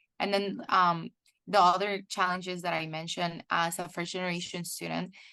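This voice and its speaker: Against a quiet background, a woman with a Spanish accent speaks at a moderate pace in a bright, sharp tone, her fairly low pitch delivered in a monotone, flat intonation. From El Salvador. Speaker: PhD student in chemical engineering. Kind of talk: webinar interview.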